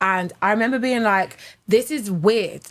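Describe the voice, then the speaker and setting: In a very clean recording with a silent background, a woman with a British accent speaks at a moderate pace with a fairly high pitch and ordinary pitch variation. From England. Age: 30s. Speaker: stand-up comedian. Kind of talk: casual chat. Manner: animated.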